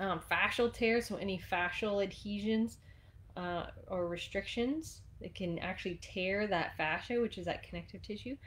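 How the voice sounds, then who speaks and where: This soft-spoken woman has a medium pitch and ordinary pitch variation. She talks at a moderate pace. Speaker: fitness instructor. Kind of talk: tutorial. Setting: live stream.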